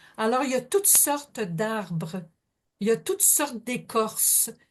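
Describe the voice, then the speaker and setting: A woman speaks very slowly. Her intonation is lively. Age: 70s. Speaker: audience participant. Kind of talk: casual sharing.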